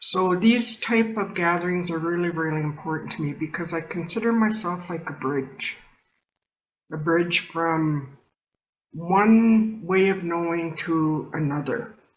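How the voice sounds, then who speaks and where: In a room with audible echo, a woman with a fairly low pitch speaks at a fairly slow pace with ordinary pitch variation. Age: 60s. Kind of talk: talk to an audience. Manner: conversational, with many fillers.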